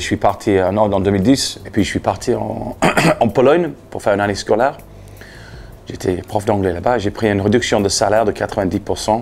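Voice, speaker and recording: A man with a Leeds accent, fairly low-pitched and fairly quick, with ordinary pitch variation, over noticeable background noise. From Leeds, England. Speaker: anti-litter campaigner, former English teacher. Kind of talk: interview answer. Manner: direct, persuasive.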